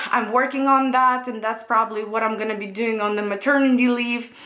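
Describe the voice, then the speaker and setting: With a non-native accent, a woman speaks in a high voice with a bright, sharp tone and fairly even intonation, with audible room echo. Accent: noticeable non-native. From Russia. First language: Russian. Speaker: tarot reader and astrology YouTuber. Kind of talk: casual Q&A monologue. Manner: hesitant, many fillers.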